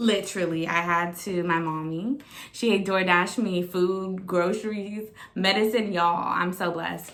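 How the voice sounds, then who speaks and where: A woman at a medium pitch speaks in an animated tone at a fairly slow pace, with audible room echo and noticeable background noise. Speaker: vlogger. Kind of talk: casual weekly diary vlog.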